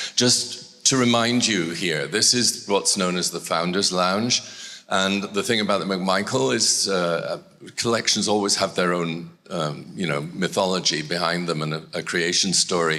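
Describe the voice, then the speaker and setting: With a Scottish accent, a man speaks fairly slowly at a very deep, low pitch, his tone bright and sharp and his pitch varying in an ordinary way. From Scotland. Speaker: art gallery director. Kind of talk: public talk.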